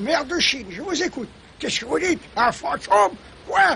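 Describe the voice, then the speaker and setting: Loud and projected, a man's cartoonish character voice leaps across very wide pitch swings at an extremely high pitch, moving at a fairly quick pace over clear background noise. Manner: nervous, hesitant.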